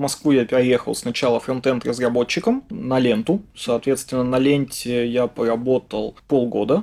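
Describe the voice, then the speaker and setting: A plain, everyday voice from a man at medium pitch, moderate pace, ordinary pitch variation, very even loudness and hardly any pauses. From Russia, Yaroslavl. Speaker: head of software development department. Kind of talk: interview.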